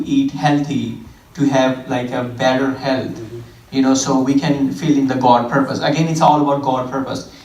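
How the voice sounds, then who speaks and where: Speaking with an Indian accent at a moderate pace, a man with a fairly high pitch is heard amid audible room echo and noticeable background noise. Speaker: fitness trainer. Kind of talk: church talk.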